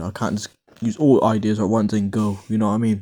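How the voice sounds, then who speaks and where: Speaking at a fairly quick pace, a man with a fairly low pitch and a dark, mellow tone keeps his intonation fairly even on a very clean recording with a silent background. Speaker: gaming YouTuber. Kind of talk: casual vlog commentary. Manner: halting, many fillers.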